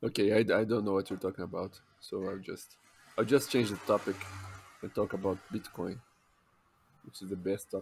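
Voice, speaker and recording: With a strong Brazilian accent, a man speaks at a fairly quick pace in a fairly low pitch, his intonation fairly even, his loudness swinging widely and his pauses long and frequent. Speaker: podcast co-host. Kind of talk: casual chat.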